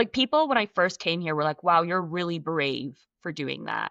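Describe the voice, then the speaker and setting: Her pitch is fairly low for a woman, yet it swings very widely, with vocal fry and a bright, sharp tone. The background is quiet. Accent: Scottish. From Scotland. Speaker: actress. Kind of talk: interview answer.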